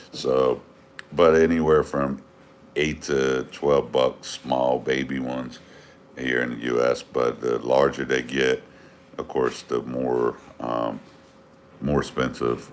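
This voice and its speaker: Speech in an American accent comes at a very slow pace with long, frequent pauses and monotone, flat intonation. Noticeable background noise sits behind it. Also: man, very deep, low pitch for a man. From US, Northern Virginia. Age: 40s. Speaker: fishkeeping livestreamer. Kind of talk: casual livestream chat. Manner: halting, many fillers.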